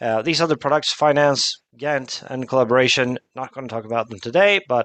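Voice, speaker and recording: Against a quiet background, a man talks with ordinary pitch variation in a dry, close sound with no echo. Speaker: product expert presenting a software demo. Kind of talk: webinar product demo. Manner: fast.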